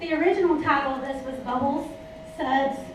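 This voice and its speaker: A woman at a moderate pace, fairly even intonation, audible room echo and noticeable background noise. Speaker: former teacher giving a product talk. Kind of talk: product presentation to a live audience. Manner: gets loud at times.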